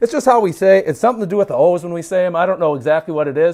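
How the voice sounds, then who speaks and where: This man has a high pitch and an animated tone with a Minnesotan accent. His intonation is lively, and the recording is very clean with a silent background. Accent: Minnesotan, mild. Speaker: livestreamer, grip strength trainer. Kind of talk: casual livestream chat. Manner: high energy.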